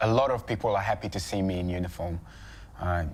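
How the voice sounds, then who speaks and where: A man's very deep, low voice, somewhat breathy, at a fairly quick pace. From Congo. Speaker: police officer. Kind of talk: interview.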